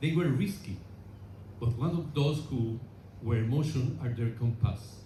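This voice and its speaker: A man with a Spanish accent speaks at a fairly slow pace and medium pitch with ordinary pitch variation, and audible room echo surrounds his voice. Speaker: relative of honored aviator, ceremony speaker. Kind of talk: memorial speech. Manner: halting; formal.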